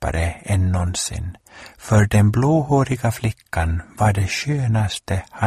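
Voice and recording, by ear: Lively intonation marks this natural-voiced reading aloud.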